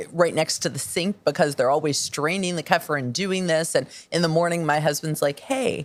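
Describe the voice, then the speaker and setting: At a moderate pace, a woman talks at a fairly low pitch in an ordinary speaking voice. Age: 50s. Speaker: podcast host. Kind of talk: interview conversation.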